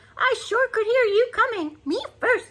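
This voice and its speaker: Squeaky and cackling, a woman puts on a character voice at an extremely high pitch. She keeps a moderate pace. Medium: read story. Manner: cackling, bossy.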